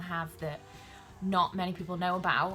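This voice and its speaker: A woman with a South Welsh accent speaks at a fairly quick pace in a fairly low pitch, with music in the background. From Wales (South Wales). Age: 20s. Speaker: YouTuber and podcaster on women's health. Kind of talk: casual vlog introduction. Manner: hesitant, many filler ums.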